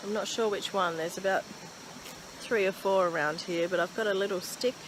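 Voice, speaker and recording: A strong Australian accent comes through over noticeable background noise. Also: woman. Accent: Australian accent, stronger than usual. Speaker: bushwalking vlogger. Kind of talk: casual talk to camera. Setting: outdoors. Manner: enthusiastic.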